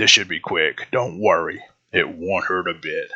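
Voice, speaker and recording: A put-on character voice from a man, delivered at a moderate speed. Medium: read story. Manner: calm, businesslike.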